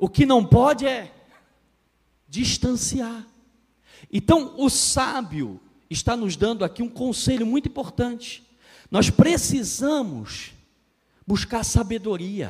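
A man at an extremely high pitch, a very slow pace with long, frequent pauses, and lively intonation. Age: 30s. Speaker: pastor and marriage counselor. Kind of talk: sermon. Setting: church.

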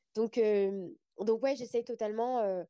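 A woman's dark, mellow tone with ordinary pitch variation at a moderate pace. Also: dry, close sound with no echo. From France. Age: 30s. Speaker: podcaster. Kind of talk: casual interview.

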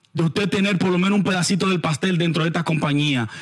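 Ordinary pitch variation in a high-pitched male voice. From Dominican Republic, Santo Domingo. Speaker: podcast host discussing investing. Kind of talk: casual monologue.

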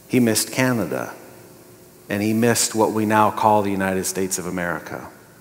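Recorded with audible room echo, a man speaks fairly quickly at fairly low pitch with ordinary pitch variation. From Montana, US. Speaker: pastor. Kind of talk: sermon.

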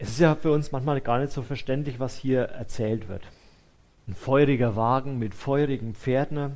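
Medium in pitch with ordinary pitch variation, this man has an unremarkable speaking voice. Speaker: preacher. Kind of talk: sermon. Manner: warm, conversational and earnest, with a comforting tone; pastoral, unhurried, addressing listeners directly as "du".

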